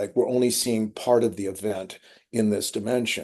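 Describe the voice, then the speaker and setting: A man's dark, mellow voice at a fairly quick pace over a quiet background. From US West Coast, Malibu California. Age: 70s. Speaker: artist. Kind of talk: interview conversation.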